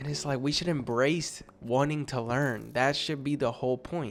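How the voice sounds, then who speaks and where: An animated man talks at a moderate pace in a fairly high voice, with ordinary pitch variation. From Spanish-speaking country, moved to US at nine. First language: Spanish. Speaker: content creator and basketball player. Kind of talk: casual vlog commentary. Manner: animated, conversational.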